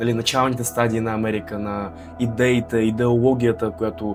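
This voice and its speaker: With music in the background, a man speaks in a Russian accent at a fairly low pitch with ordinary pitch variation. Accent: Russian accent in Bulgarian. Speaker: vlogger, university student. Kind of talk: casual talk to camera.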